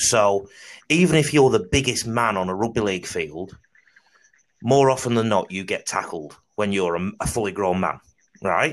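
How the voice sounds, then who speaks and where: Lively intonation marks this moderate-paced voice in a Mancunian accent, broken by long, frequent pauses. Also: man, fairly low pitch for a man, very clean recording, silent background. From Salford, northern England. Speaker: podcast host. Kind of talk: casual chat.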